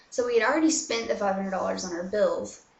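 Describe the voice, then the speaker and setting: Heard with audible room echo, a woman with an American accent speaks in a fairly high voice. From USA. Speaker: vlogger. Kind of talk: casual chat. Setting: bathroom. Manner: filler-heavy. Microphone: laptop mic, echo.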